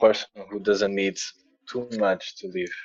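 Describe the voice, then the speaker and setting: Speaking at a moderate pace, a man with a non-native accent has a fairly low-pitched voice. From Portugal. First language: Portuguese. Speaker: musician and sound healer. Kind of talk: interview podcast. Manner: halting, repeating words.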